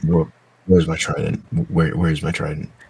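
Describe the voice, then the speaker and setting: In a put-on character voice, a man speaks fairly quickly with a raspy, very deep, low pitch and fairly even intonation. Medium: virtual streamer. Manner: blunt, terse.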